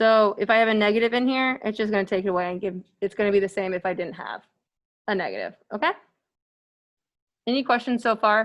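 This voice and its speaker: A woman mumbling at a very fast pace with long, frequent pauses, her fairly high voice fairly even in intonation, over a quiet background. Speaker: math instructor. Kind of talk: lecture. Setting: virtual classroom.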